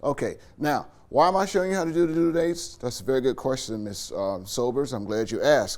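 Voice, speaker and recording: A man talks very fast at a fairly high pitch, with very wide pitch swings and hardly any pauses. The room echo is audible. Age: 70s. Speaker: college instructor. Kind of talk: staff training session. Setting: classroom with live audience, filmed. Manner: casual and joking.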